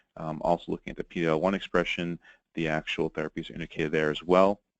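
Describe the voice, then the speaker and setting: In a New York accent, a man with a very deep, low pitch talks very fast in a flat monotone, the sound dry and close with no echo. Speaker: pharmacist presenting a webinar. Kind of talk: webinar lecture. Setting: webinar recording.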